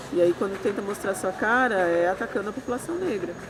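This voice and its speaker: At a moderate pace and medium pitch, a woman talks with ordinary pitch variation over noticeable background noise. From Brazil, São Bernardo do Campo (São Paulo area). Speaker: social educator and activist. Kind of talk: interview testimony.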